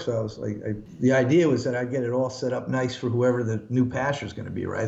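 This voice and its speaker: A man talks at a fairly quick pace in a room with audible echo. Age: 50s. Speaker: pastor. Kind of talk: casual chat. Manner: halting.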